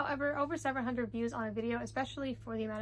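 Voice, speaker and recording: A soft-spoken woman at a very fast pace. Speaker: book vlogger. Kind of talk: casual vlog talk.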